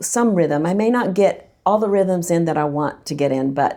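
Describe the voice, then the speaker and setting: A woman with an unremarkable speaking voice talks at a fairly low pitch, with ordinary pitch variation. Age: 60s. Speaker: church podcast panelist. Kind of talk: casual chat.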